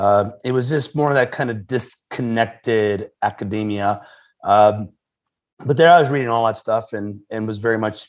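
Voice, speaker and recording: This man has a plain, everyday voice, medium in pitch, with fairly even intonation. He speaks at a moderate pace on a very clean recording with a silent background. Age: 40s. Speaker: pastor and author. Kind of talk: interview conversation.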